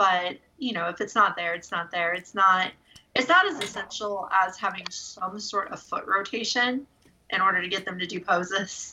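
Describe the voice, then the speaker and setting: Speaking at a moderate pace, a woman has an ordinary speaking voice, a medium pitch and fairly even intonation. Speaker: podcast co-host. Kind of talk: casual, conversational toy review.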